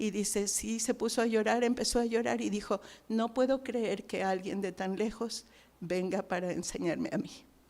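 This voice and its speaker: On a very clean recording with a silent background, a woman speaks with fairly high pitch. Her pace is moderate and her pitch variation ordinary. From Mexico. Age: 60s. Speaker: missionary. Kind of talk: testimony.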